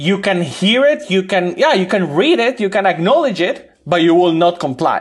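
A man with a Spanish accent speaks at a high pitch with lively intonation. His pace is moderate and his loudness very even. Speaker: urban researcher. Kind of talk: interview.

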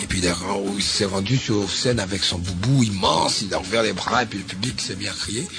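A man talks at a fairly slow pace and a fairly low pitch, with ordinary pitch variation. Audible room echo and noticeable background noise are present. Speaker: radio host. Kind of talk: interview.

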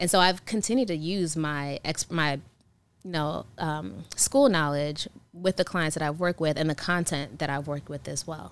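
A speaker with an American accent talks at a moderate pace in a very clean recording with a silent background. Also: woman, very deep, low pitch for a woman, ordinary pitch variation. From US, Nigerian parents. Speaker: wedding and event planner. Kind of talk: interview.

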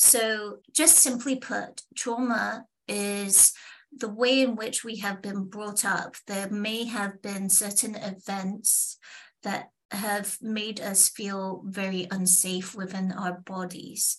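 A woman with a British accent speaks at medium pitch and a very slow pace, somewhat breathy, with fairly even intonation. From England. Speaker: confidence coach. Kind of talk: interview.

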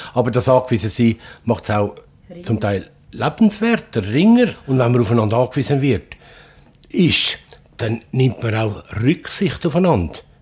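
A man with a somewhat breathy, medium-pitched voice speaks at a moderate pace with lively intonation and long, frequent pauses. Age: 60s. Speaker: family innkeeper. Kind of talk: casual chat.

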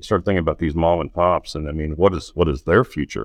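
A man's very deep, low voice at a fairly quick pace, with ordinary pitch variation and a dry, close sound with no echo. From Oklahoma. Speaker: audio technology executive. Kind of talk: casual interview. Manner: halting, many fillers and repeats.

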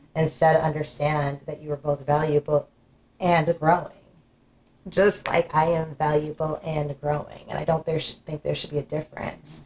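A somewhat breathy woman speaks at a moderate pace with a very deep, low pitch and monotone, flat intonation. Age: 40s. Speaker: podcast host. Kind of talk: casual chat.

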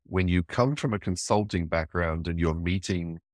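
With an English accent, a man speaks at a moderate pace in a very deep, low pitch with ordinary variation, on a very clean recording with a silent background and a dry, close sound with no echo. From England. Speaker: cybersecurity consultant and small business owner. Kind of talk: interview.

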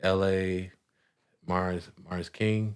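In a very clean recording with a silent background, a man with an American accent speaks at a very deep, low pitch with monotone, flat intonation. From California. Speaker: rapper. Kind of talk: casual interview.

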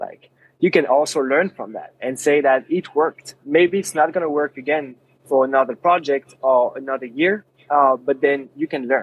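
A man's voice in a French accent, with fairly even intonation. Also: fairly high pitch for a man, moderate pace. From France. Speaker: app company founder, sport physiotherapist. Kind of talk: podcast interview.

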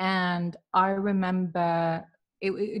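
Here a woman is talking. Her voice is somewhat breathy. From Manchester, England. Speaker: mental health practitioner and coach. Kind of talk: casual interview. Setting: video call from Dubai.

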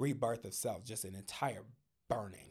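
A man's animated tone at a fairly slow pace, with ordinary pitch variation. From Denver, Colorado. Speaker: singer, songwriter and producer. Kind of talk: casual chat.

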